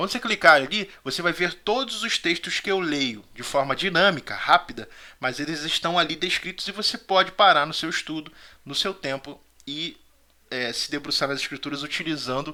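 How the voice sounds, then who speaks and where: Fairly high in pitch for a man, his bright, sharp voice moves at a fairly quick pace with lively intonation. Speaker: Sunday school Bible teacher. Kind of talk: Bible study lecture. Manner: fast.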